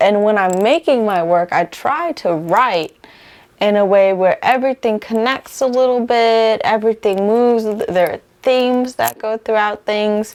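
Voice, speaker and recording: Talking at a moderate pace with ordinary pitch variation, a woman has a fairly high pitch and a plain, everyday voice. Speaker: singer-songwriter. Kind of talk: casual interview.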